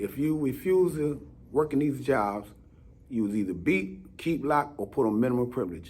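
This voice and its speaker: A man's plain, everyday voice with lively intonation at a moderate pace. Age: 60s. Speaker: former prisoner. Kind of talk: interview. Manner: terse, short answers.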